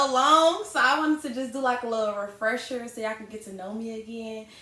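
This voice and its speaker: Against noticeable background noise, a woman talks at a very fast pace in a high voice with lively intonation. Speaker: YouTuber and hair business owner. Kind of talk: casual Q&A chat. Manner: loud; animated.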